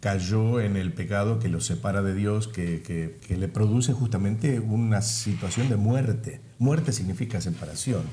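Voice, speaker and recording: A somewhat breathy man speaks fairly slowly at a fairly low pitch, with a dark, mellow tone and ordinary pitch variation. He barely pauses, and the room echo is audible. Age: 70s. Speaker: pastor. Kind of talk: interview.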